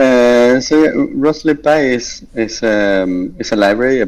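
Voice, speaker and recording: Speaking with an Argentine accent, a man shows ordinary pitch variation. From Argentina. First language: Spanish. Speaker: software engineer. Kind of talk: interview.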